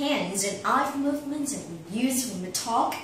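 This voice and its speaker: Her high pitch swinging very widely, a woman talks with audible room echo and noticeable background noise. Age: 20s. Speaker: speaking contest entrant. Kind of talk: prepared talk.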